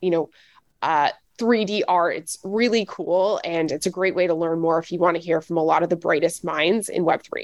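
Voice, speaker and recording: A woman with an American accent speaks at a fairly quick pace and fairly even intonation. The sound is dry and close with no echo, over a quiet background. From US South, Nashville, Tennessee. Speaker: web3 consultancy executive. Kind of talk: interview.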